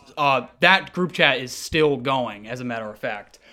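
A man with an American accent, fairly high in pitch, bright and sharp in tone, at a fairly slow pace, on a very clean recording with a silent background. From US, Vermont and Seattle. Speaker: music content creator. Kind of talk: casual chat.

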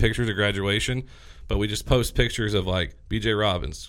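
A man speaks at a fairly quick pace and fairly low pitch with a bright, sharp tone. The recording is very clean, the background silent. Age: 30s. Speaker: podcast host. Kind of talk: casual chat. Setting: studio.

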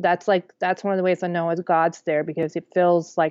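Her fairly low-pitched voice stays monotone, with flat intonation throughout. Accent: American. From Kansas, Wichita. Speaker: author. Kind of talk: interview, personal testimony.

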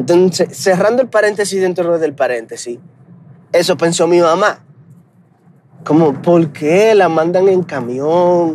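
At a fairly slow pace, a man with a Dominican accent speaks in a high pitch with ordinary pitch variation. He leaves long, frequent pauses and keeps his loudness very even. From Dominican Republic. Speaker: podcaster. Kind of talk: casual monologue. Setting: in a car.

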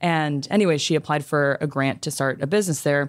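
A woman with a Californian accent, very deep and low in pitch, at a fairly quick pace with fairly even intonation, in a very clean recording with a silent background. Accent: Californian American English. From Los Angeles, US. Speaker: YouTuber and former management consultant. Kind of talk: casual interview.

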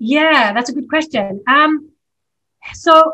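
A woman's bright, sharp voice at a fairly slow pace with ordinary pitch variation. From Australia. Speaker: documentary producer and writer. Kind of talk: interview conversation.

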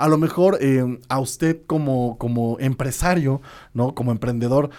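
In an animated tone and a Mexican accent, a man speaks at a moderate pace and medium pitch with ordinary pitch variation, in a very clean recording with a silent background. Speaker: radio host. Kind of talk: casual radio chat. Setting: radio studio.

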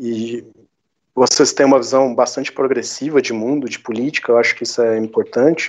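A man talks in a rural Minas Gerais accent. His pace is moderate and his intonation fairly even. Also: medium pitch for a man. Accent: Minas Gerais interior. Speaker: history teacher and game developer. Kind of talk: interview conversation.

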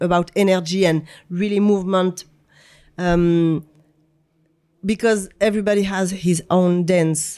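A woman with a French accent, medium pitch and dark, mellow tone, at a fairly slow pace with long, frequent pauses, monotone, flat intonation and very even loudness. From France. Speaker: choreographer and dancer. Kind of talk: casual interview conversation. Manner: halting, searching for English words.

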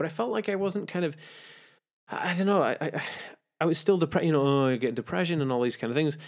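Speaking very fast yet with long, frequent pauses, a man with a British accent uses a fairly high pitch and lively intonation in a very clean recording with a silent background. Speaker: author and spiritual movement founder. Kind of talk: casual interview. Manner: animated; fast talkative.

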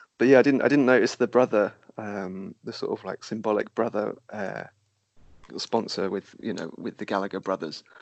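A man speaks at a moderate pace in a plain, everyday voice, fairly low in pitch with ordinary pitch variation. His loudness swings widely. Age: 30s. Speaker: podcast host. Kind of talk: casual chat.

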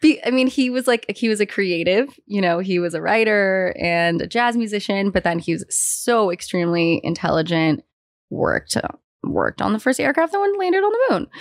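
In a very clean recording with a silent background, a woman with an unremarkable speaking voice and an American accent talks at a moderate pace with medium pitch and lively intonation. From US West Coast, San Francisco. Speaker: fashion designer. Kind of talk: casual chat.

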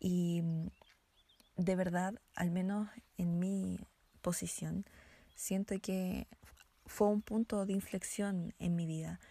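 Very slow and broken by long, frequent pauses, a woman's medium-pitched voice is dark, mellow and somewhat breathy, with monotone, flat intonation. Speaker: podcast co-host, political scientist. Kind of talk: casual chat.

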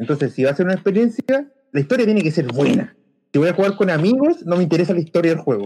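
With a Chilean accent, a man talks very fast in a high pitch. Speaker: podcast co-host. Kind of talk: casual chat.

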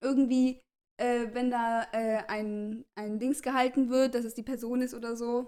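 A woman speaks with a high pitch. Her intonation stays fairly even. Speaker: podcast co-host. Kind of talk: casual chat.

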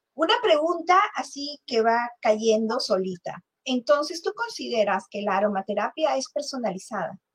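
In a dry, close sound with no echo, a woman at a high pitch moves through very wide pitch swings at a fairly slow pace with hardly any pauses. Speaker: podcast host. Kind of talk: interview.

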